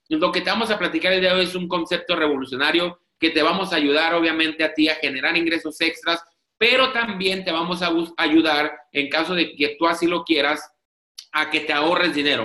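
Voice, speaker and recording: A man with a high pitch speaks in an animated tone at a fairly quick pace, with audible room echo over a quiet background. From Mexico, Tijuana. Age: 30s. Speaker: network marketing presenter. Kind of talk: sales pitch. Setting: video call. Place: home room. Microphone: video call.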